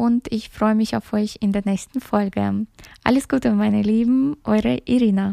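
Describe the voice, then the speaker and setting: Her voice is fairly high for a woman yet dark and mellow in tone, delivered at a moderate pace with a dry, close sound and no echo. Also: ordinary pitch variation, very even loudness. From Kyrgyzstan, raised in Germany. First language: Russian (speaking German). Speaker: social media influencer and podcast host. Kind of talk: solo podcast introduction. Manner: hesitant with many filler sounds.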